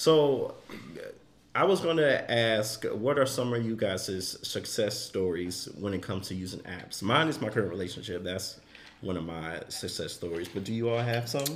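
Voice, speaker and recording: Moderate pace, with audible room echo. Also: man, fairly low pitch for a man, lively intonation. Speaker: podcast co-host. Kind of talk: casual chat.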